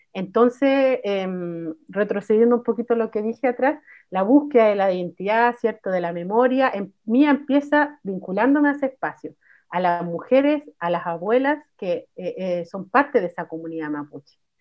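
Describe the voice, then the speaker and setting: In a normal speaking voice, a woman talks at a moderate pace with a fairly high pitch and lively intonation. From Chile, Santiago (El Bosque). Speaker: musician and psychologist. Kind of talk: casual chat.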